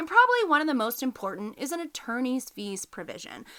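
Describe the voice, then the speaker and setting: A high-pitched woman with an American accent on a very clean recording with a silent background. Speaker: podcast host, business lawyer. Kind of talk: educational podcast talk. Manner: casual, conversational.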